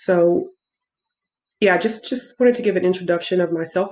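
This woman's pitch sits fairly low. She speaks with an American accent. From US Midwest, south side of Chicago. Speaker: travel vlogger. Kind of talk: casual vlog monologue. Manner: hesitant, many fillers. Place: home room. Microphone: webcam.

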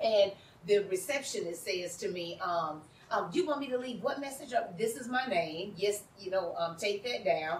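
A woman talks at a moderate pace with lively intonation and an animated tone. Audible room echo and light background noise surround her voice. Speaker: community organizer. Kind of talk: panel discussion. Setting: stage with audience. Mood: earnest, personal storytelling. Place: garden.

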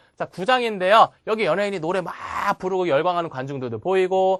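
Very fast, animated speech over a quiet background. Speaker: memorization course instructor. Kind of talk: lecture.

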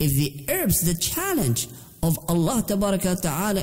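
A man with high pitch and very wide pitch swings at a very slow pace, over noticeable background noise. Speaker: Islamic teacher. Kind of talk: religious lecture.

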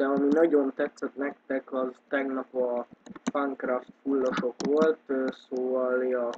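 The delivery is very slow and monotone, with flat intonation throughout. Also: man. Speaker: gaming youtuber. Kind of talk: gameplay commentary. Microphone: poor microphone, keyboard audible.

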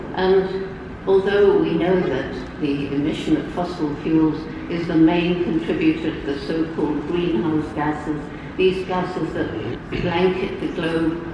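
Strong room echo and noticeable background noise surround a woman who speaks fairly slowly with fairly even intonation. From England. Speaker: primatologist and environmental activist. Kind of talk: keynote speech. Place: hall. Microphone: pa.

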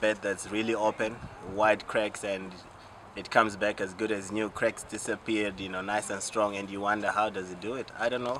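Amid noticeable background noise, the speech runs at a moderate pace in monotone, flat intonation. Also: man. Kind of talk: interview answer. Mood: warm, appreciative. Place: open country.

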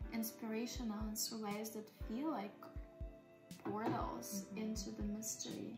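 Clear music plays in the background. Over it, a woman speaks. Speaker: spiritual energy healer and hypnotherapist. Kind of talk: casual soft-spoken ASMR dialogue about time and femininity. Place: home room. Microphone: phone near.

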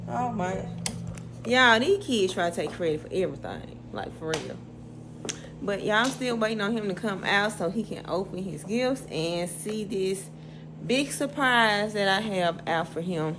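A woman talks at a fairly slow pace, with noticeable background noise behind her. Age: 30s. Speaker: lifestyle vlogger. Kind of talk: casual vlog talk to camera. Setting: handheld vlog camera, at home and out. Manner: animated. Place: home room. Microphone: phone near.

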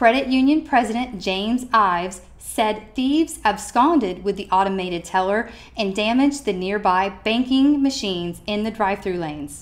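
A woman talks at a moderate pace with hardly any pauses, in an ordinary speaking voice. Her pitch is fairly high and her intonation lively. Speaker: student newscaster. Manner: formal, measured and steady, with crisp, even delivery.

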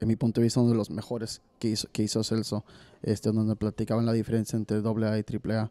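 A man talks at a very fast pace in a dark, mellow tone. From Mexico, San Luis Potosí. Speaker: podcast host. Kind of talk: casual chat. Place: studio. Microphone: studio mic.

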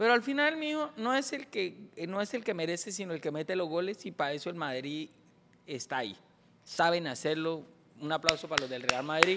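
A man with a high pitch, lively intonation and a fairly quick pace, over noticeable background noise. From Colombia, Bucaramanga; Colombia. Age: 40s. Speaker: comedian. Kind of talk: casual chat. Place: studio. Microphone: studio mic.

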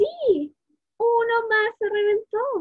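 A woman talks at a very slow pace with an extremely high pitch. Her tone is warm and playful. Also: quiet background. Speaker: early childhood education student. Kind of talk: children's storytelling, picture-book read-aloud. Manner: warm, playful, engaging, asking the children questions. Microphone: webcam.

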